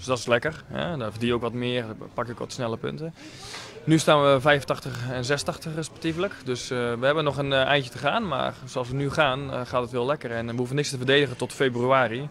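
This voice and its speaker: Moderately paced, dry speech with no echo, fairly even intonation and light background noise. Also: man. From Netherlands, Leerdam; Netherlands. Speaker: professional tennis player. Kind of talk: post-match interview. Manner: halting, many filler words. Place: cafe.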